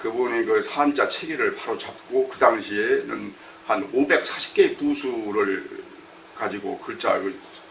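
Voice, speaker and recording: Speech comes at a fairly slow pace with big swings in loudness over noticeable background noise. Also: man. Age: 60s. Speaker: retired education official and Chinese-character teacher. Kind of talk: interview. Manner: halting, many fillers.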